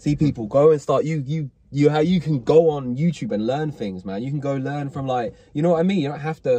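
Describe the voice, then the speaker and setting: The voice has a dark, mellow tone and a somewhat breathy quality, moving at a fairly quick pace in a dry sound with no echo. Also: man, ordinary pitch variation. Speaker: show host in the driver seat. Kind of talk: casual interview chat. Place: car. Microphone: phone near.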